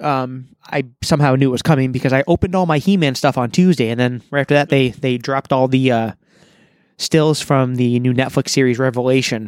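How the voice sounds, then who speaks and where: A man talks at a fairly quick pace in an unremarkable speaking voice, medium in pitch with fairly even intonation. The sound is dry and close with no echo. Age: 30s. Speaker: podcast host. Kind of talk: casual chat. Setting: outdoors on a porch.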